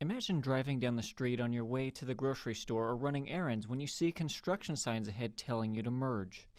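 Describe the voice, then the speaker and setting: This man has an ordinary speaking voice with ordinary pitch variation, moving at a fairly quick pace with hardly any pauses. The recording is very clean, with a silent background. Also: medium pitch for a man. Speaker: TV news reporter. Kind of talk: TV news report.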